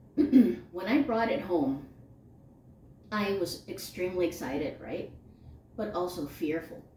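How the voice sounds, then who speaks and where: There is audible room echo around a woman who speaks very slowly at a fairly low pitch with lively intonation. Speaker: spirituality podcast co-host. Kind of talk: casual chat. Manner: loud.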